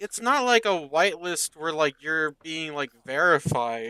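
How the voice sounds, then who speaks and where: At a fairly slow pace, a man with a fairly high pitch speaks in a bright, sharp tone, the sound dry and close with no echo. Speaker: gaming streamer. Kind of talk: casual live stream chat. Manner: loud; halting, many fillers.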